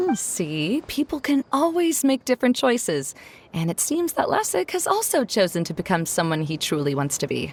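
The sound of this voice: Using a put-on character voice, a woman speaks in a fairly high pitch with big pitch swings and a slightly husky edge, in a dry, close sound with no echo. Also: moderate pace.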